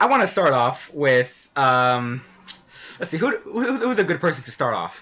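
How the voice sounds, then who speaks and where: Moving fairly slowly, a man's voice swings very widely in pitch. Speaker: podcast host. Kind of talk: casual chat; scripted narration. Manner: stuttering; halting.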